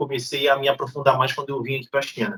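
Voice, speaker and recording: A somewhat breathy man with a Rio de Janeiro accent. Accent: Rio de Janeiro (carioca). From Brazil, Rio de Janeiro (Niterói). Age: 30s. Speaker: YouTuber. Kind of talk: interview.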